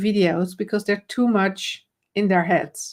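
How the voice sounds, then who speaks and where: At a fairly slow pace, a woman with a Dutch accent speaks in a medium pitch. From Netherlands. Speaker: camera confidence coach. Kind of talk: live stream conversation. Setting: live video stream.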